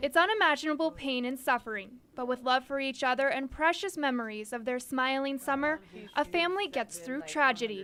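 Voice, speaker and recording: With a bright, sharp tone, a woman projects a raised voice at a high pitch. She keeps a fairly quick pace. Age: 20s. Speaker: TV news reporter. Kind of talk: TV news report.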